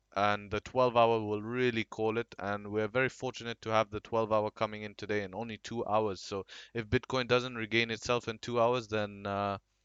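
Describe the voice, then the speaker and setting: A man with a fairly low pitch and fairly even intonation talks at a moderate pace. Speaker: crypto market analyst. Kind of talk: chart analysis commentary. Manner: hesitant, with many fillers.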